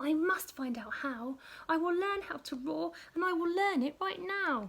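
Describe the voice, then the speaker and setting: This is a squeaky, put-on character voice. It moves at a moderate pace with lively intonation. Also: woman, extremely high pitch for a woman. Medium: read story. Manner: hesitant, stammering.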